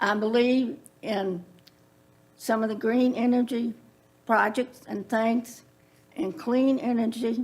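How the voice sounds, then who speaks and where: With a Central Virginia accent, a woman speaks at a very slow pace in a fairly high pitch, her intonation fairly even and her speech broken by long, frequent pauses. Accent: Central Virginia Southern US. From Virginia (Prince Edward County). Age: 70s. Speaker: public commenter, landowner. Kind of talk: public comment at county meeting.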